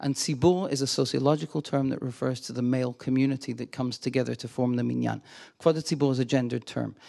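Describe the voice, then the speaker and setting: Very fast and in an American accent, this man's speech sits at a medium pitch with a dark, mellow tone. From Glasgow, Scotland. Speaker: visiting scholar and lecturer on Judaism. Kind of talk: lecture. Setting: lecture hall with audience. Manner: friendly, humorous, animated.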